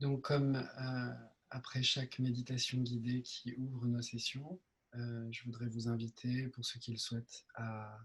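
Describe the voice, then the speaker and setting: The voice is soft-spoken and somewhat breathy, with monotone, flat intonation. The pace is fairly slow. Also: man. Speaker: meditation teacher. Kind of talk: meditation Q&A session. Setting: video call. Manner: hesitant with many fillers.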